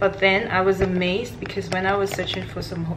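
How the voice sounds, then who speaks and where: Noticeable background noise accompanies a woman's voice. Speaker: travel vlogger. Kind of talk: casual vlog chat. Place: home room. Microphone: phone near.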